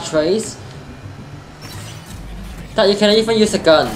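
A woman speaks at a medium pitch with lively intonation, and noticeable background noise can be heard. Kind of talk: gameplay commentary. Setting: mic makes voice sound strange. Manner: casual.

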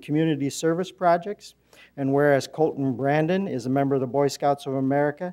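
A man at a very fast pace with ordinary pitch variation, against a quiet background. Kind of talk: formal proclamation reading. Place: hall. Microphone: podium.

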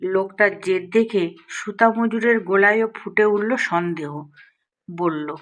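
The voice is reading aloud in a natural voice with ordinary pitch variation. The background is quiet.

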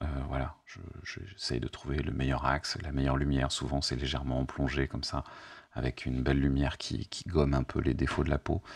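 A man with a very deep, low pitch speaks at a moderate pace with fairly even intonation. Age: 50s. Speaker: YouTuber and life coach; YouTuber, life coach. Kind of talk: spontaneous monologue to camera. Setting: at home, facing camera. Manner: hesitant, many fillers. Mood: calm, reflective, warm. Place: home room. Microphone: studio mic.

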